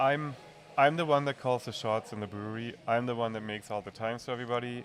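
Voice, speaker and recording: With music in the background, a man of medium pitch speaks at a fairly quick pace in fairly even intonation, leaving long, frequent pauses. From Germany. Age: 40s. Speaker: brewery owner. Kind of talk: podcast interview. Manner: halting.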